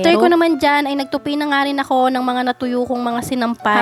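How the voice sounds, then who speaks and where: A woman talks at a very fast pace in a high voice, with noticeable background noise. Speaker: vlogger and stay-at-home mother. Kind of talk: vlog voice-over narration. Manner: casual, chatty.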